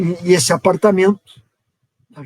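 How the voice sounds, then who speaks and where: The pace is moderate. The sound is dry and close, with no echo. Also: man. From southern Brazil, Porto Alegre. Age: 70s. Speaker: professor, founding member of a UFO research group. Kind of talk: casual chat, personal recollection. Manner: halting, with self-corrections.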